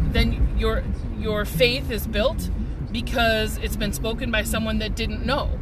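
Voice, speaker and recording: A man talks at a fairly slow pace. The sound is dry with no echo, and loud background noise runs underneath. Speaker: vlogger sharing faith reflections. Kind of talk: casual vlog chat. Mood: reflective, earnest. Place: car. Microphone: phone near.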